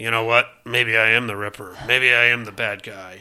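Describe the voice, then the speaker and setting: A man's put-on character voice at medium pitch, flat and monotone, at a moderate pace. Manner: menacing.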